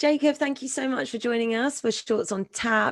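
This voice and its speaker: The speaker has a British accent and ordinary pitch variation. The background is quiet. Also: woman. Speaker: event host. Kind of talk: live Q&A interview.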